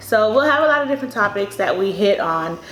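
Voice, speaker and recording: A woman speaks at a fairly high pitch. The room echo is audible, and background noise is noticeable. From Miami, Bahamian family. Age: 20s. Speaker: dental student. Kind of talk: casual chat.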